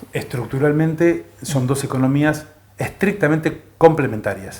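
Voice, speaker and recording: A somewhat breathy man at a fairly high pitch, fairly slow pace and ordinary pitch variation. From Argentina. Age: 60s. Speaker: economist and China scholar. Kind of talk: interview. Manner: halting, many filler pauses.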